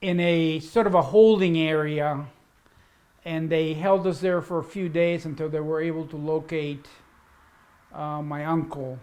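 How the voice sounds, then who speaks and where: A man with a Spanish accent and a fairly high voice talks at a fairly slow pace, his intonation fairly even, with long, frequent pauses. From Cuba, raised in Washington D.C. from childhood. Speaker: interviewee recounting life story. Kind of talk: interview, personal life story.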